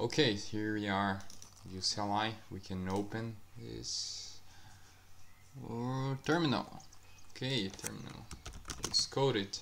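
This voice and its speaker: Over noticeable background noise, a man speaks very slowly with long, frequent pauses, at a fairly low pitch with ordinary pitch variation. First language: not English. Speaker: software developer YouTuber. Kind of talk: screen-share coding walkthrough. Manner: halting.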